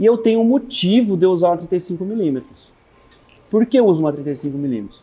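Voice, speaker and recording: A man speaks very fast with a high pitch and a dark, mellow tone. His intonation is lively. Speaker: photographer. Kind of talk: talk to an audience.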